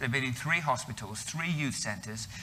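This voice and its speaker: This man has a bright, sharp tone at a medium pitch. His pitch variation is ordinary. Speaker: missionary. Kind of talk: interview.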